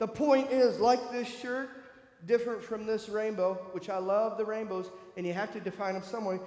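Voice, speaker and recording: A man with an American accent talks at a moderate pace, his pitch high and his tone animated. Room echo is audible, and there is noticeable background noise. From US Midwest, northern Michigan. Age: 50s. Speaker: church speaker sharing personal story. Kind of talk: testimony. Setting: church.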